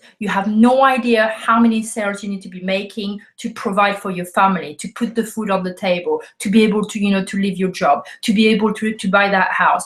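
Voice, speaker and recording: A woman with a French accent speaks at a fairly quick pace with hardly any pauses. Her medium-pitched voice is somewhat breathy and swings widely in loudness. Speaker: network marketing coach. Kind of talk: video talk to camera. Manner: animated; halting with many fillers.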